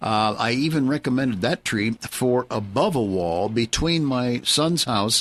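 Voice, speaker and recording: At a fairly slow pace, a man speaks at a medium pitch with ordinary pitch variation, in a normal speaking voice. The recording is very clean, with a silent background and a dry, close sound with no echo. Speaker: horticultural consultant, certified arborist and landscape designer, gardening radio host. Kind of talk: live radio gardening advice, answering a listener question. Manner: friendly, conversational, with frequent filler words and pauses.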